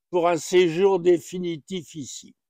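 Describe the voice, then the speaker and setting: A man speaks at a high pitch with a dark, mellow tone. The pace is very slow, and the sound is dry and close with no echo. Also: quiet background. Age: 80s+. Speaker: retirement home resident. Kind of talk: testimony.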